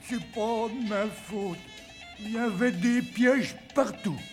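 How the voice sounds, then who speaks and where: In a cartoonish character voice, a man speaks with a high pitch, fairly even intonation and a fairly slow pace while clear music plays in the background. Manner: meek, slow.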